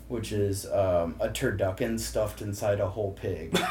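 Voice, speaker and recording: Speaking at a moderate pace with an American accent, a man is heard with audible room echo. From St. Louis, Missouri (Kirkwood). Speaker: bar manager. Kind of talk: casual chat.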